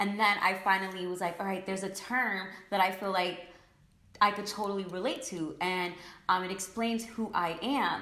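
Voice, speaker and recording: A woman speaks with a New York accent at a medium pitch with fairly even intonation. Audible room echo and noticeable background noise accompany her. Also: moderate pace. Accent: New York American English. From New York, US. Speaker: beauty influencer. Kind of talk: casual chat.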